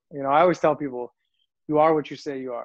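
A man talks at a fairly quick pace in an ordinary speaking voice. His pitch is fairly high, with ordinary pitch variation. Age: 40s. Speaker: motivational speaker. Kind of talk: interview.

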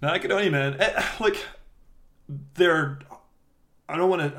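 With a Scottish accent, a man talks at a fairly quick pace and with lively intonation. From Scotland. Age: 30s. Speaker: podcast co-host. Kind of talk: casual chat.

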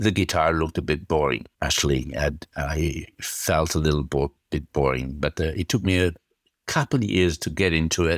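With an Italian accent, a man speaks at a moderate pace in a very deep, low pitch with vocal fry and very even loudness, in a dry, close sound with no echo. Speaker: guitarist. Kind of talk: casual interview. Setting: video call.

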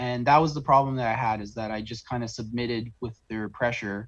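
Somewhat breathy delivery with fairly even intonation in a Canadian accent. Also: man. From Southern Ontario, Canada (St. Catharines). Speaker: oil field worker telling his story. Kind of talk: interview. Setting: video call.

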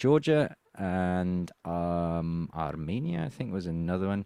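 A man with an English accent and a very deep, low pitch, his intonation lively, on a very clean recording with a silent background. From England. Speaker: political commentator. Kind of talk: interview.

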